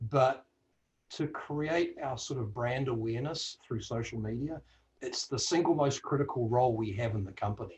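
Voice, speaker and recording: A man with a New Zealand accent, medium in pitch, at a moderate pace with ordinary pitch variation. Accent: New Zealand accent, called funny by self. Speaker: audio industry executive on a career panel. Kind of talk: panel discussion.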